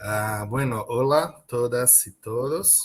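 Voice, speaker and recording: A man speaks with a Brazilian accent. His voice is somewhat breathy. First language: Portuguese (speaking Spanish). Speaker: professor. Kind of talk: panel talk. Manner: halting.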